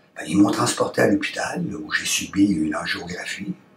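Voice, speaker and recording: Fairly slow male speech over noticeable background noise. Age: 60s. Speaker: testimonial actor playing heart patient. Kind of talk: testimony. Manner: halting, with hesitations.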